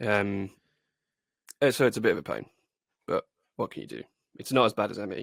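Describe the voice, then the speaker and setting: A man with a British accent, long, frequent pauses and big swings in loudness, in a dry, close sound with no echo. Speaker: podcast co-host. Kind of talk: casual chat.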